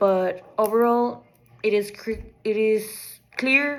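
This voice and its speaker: Someone with a non-native accent talks over noticeable background noise. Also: woman. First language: not English. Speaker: student. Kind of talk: class assignment presentation. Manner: halting, with false starts.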